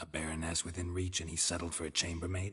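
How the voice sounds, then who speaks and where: A man puts on a character voice with very deep, low pitch, talking very fast in a deadpan tone and a monotone, flat delivery. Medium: video game. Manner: terse, deadpan.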